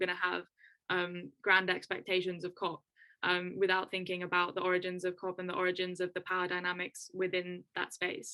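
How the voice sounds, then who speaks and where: Here a woman speaks at a medium pitch. Her tone is bright and sharp. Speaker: climate and health activist. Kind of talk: webinar panel talk. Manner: fast; animated.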